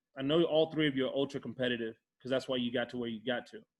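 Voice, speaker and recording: Here a man talks. He has an American accent. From Texas. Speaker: podcast host, former pro football player. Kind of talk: casual interview chat.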